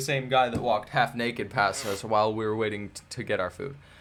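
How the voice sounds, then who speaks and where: An animated man with a bright, sharp tone at a fairly quick pace. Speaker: vlogger. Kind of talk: storytelling. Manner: halting, self-correcting.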